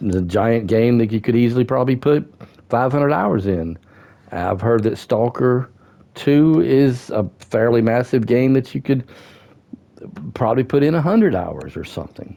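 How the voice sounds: A man speaks at a medium pitch with a dark, mellow tone and vocal fry. His intonation is lively, his pace fairly slow, and his pauses long and frequent.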